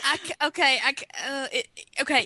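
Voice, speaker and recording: With a raised, projected voice, a woman speaks at a high pitch and a fairly slow pace, her tone bright and sharp. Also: dry, close sound with no echo. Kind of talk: casual chat.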